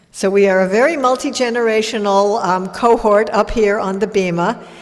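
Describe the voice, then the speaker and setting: A woman speaks with ordinary pitch variation. There is noticeable background noise and audible room echo. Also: fairly high pitch for a woman, moderate pace. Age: 60s. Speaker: rabbi. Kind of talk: religious service address. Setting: synagogue with congregation and live stream.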